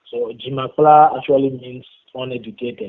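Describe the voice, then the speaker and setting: A man speaks at a moderate pace with a West African accent. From Benin. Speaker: rapper. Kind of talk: interview. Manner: halting.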